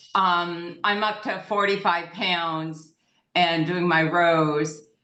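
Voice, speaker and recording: In a bright, sharp tone, a woman with a fairly low pitch speaks at a very slow pace with fairly even intonation and audible room echo. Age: 60s. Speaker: club member asking questions. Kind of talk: casual Q&A on video call. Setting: video call.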